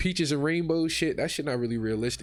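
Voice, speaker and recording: A man talks at a very fast pace in a fairly high voice, with ordinary pitch variation. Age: 20s. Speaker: podcast guest. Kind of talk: casual chat.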